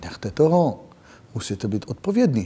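His voice has a dark, mellow tone and a somewhat breathy quality. The man talks at a moderate pace with lively intonation. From Israel. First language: not Czech (speaking Czech). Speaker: security expert. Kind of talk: interview. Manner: halting.

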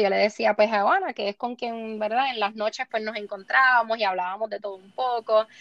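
A woman with a plain, everyday voice, fairly high pitch and fairly even intonation, moderate pace with hardly any pauses, and big swings in loudness. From Puerto Rico. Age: 20s. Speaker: beauty pageant contestant. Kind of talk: interview.

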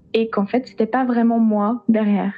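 A woman speaks in a fairly high voice. Background noise is noticeable. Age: 20s. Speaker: saxophonist and music teacher. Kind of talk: casual interview. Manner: hesitant, many fillers.

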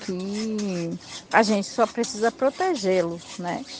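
A woman's medium-pitched voice, fairly slow and fairly even in intonation, over noticeable background noise. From Olivença, Bahia, Brazil. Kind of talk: recorded testimony.

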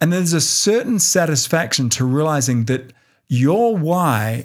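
In an American accent, a man speaks at a fairly slow pace in an animated tone. The recording is very clean, with a silent background. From Australia. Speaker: podcast host and online course seller. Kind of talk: solo podcast monologue, motivational business talk. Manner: conversational, direct, animated.

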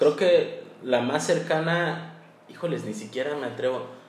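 Echo from the room is audible. Background noise is noticeable too. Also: man. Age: 20s. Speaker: podcast co-host. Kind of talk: casual chat.

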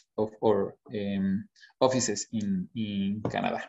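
A man's medium-pitched voice with a Spanish accent and ordinary pitch variation. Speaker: HR consultant. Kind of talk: webinar presentation. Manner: halting, many fillers.

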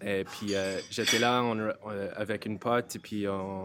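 Here a man talks with an English accent. His intonation is monotone and flat. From rural Ireland. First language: English (speaking French). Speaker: brewer. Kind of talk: casual chat. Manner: halting.

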